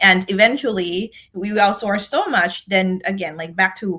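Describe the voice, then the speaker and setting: A woman in a Thai accent speaks at medium pitch and a fairly slow pace, with a bright, sharp tone and ordinary pitch variation. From Thailand. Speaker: decision scientist and leadership speaker. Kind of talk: podcast interview. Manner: halting, many fillers and repeats.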